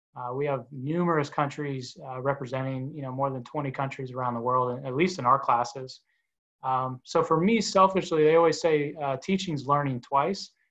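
A man with an American accent speaks at a moderate pace with ordinary pitch variation, his voice fairly high for a man. It is an unremarkable speaking voice against a quiet background. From Orlando, Florida. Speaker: sports marketing executive and university lecturer. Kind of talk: interview.

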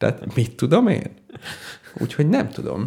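Very wide pitch swings run through this man's speech. He keeps a fairly slow pace. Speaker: radio show co-host, university assistant lecturer. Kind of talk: casual chat.

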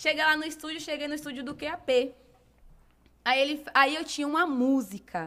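Raised and projected, a woman's high voice with a bright, sharp tone comes at a moderate pace, with big swings in loudness and long, frequent pauses. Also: ordinary pitch variation. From Brazil, Bahia (Salvador). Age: 20s. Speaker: fashion and lifestyle blogger, singer and model. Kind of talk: casual interview chat.

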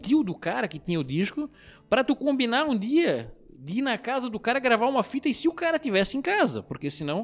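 On a very clean recording with a silent background, a man talks at a fairly quick pace in an extremely high pitch with very wide pitch swings. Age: 30s. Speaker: rock bassist. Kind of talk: interview. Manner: halting.

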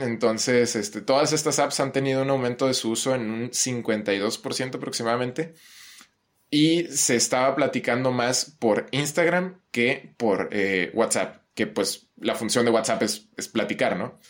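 Speaking at a fairly slow pace, a man uses a normal speaking voice of medium pitch with ordinary pitch variation. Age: 20s. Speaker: psychology student. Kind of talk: casual chat.

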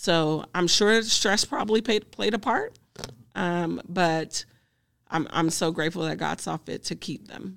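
On a very clean recording with a silent background, a woman with an American accent speaks at a fairly slow pace and fairly low pitch, with vocal fry and ordinary pitch variation. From US South, Greenville, Mississippi. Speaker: social worker and grief counselor. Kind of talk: interview conversation.

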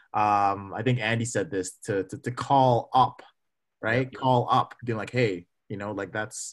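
An unremarkable speaking voice from a man with a Canadian accent, medium pitch, fairly even intonation and moderate pace, over a quiet background. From Saudi Arabia, then Calgary, Canada. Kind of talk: casual discussion.

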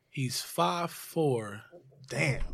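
On a very clean recording with a silent background, a man with an American accent speaks very slowly with vocal fry. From Newark, New Jersey. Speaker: personal trainer. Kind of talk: casual chat interview.

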